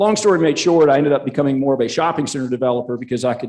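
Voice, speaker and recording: A man speaks with a Southern US accent. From South Carolina. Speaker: conference speaker, real estate analyst. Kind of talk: conference presentation. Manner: halting, many fillers.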